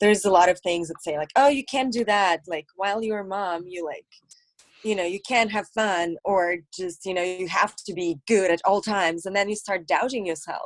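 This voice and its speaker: The woman has a slight Russian accent, a medium pitch and ordinary pitch variation. She speaks at a moderate pace, and the sound is dry and close with no echo. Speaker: actress, model and comedian. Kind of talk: casual interview chat.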